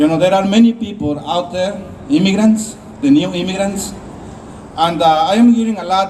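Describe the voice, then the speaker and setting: Speaking with a non-native accent, a man with a high pitch talks at a moderate pace with ordinary pitch variation over noticeable background noise. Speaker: immigrant rights activist. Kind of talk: rally speech. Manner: halting.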